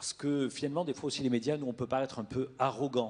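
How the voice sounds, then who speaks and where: In a Toulouse accent, a man talks at a fairly quick pace. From southern France, Toulouse. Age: 40s. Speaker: media executive. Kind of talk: panel discussion. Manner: halting, many hesitations.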